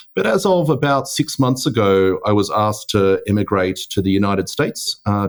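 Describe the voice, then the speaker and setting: With an Australian accent and lively intonation, a man speaks at a fairly quick pace. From Australia, Melbourne. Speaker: tech executive. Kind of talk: podcast interview. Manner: hesitant, many fillers.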